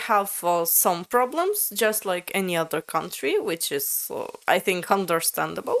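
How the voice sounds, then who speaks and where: A woman speaks with a Latvian accent. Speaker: language learner, video creator. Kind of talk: casual conversation with AI chatbot. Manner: halting, many fillers.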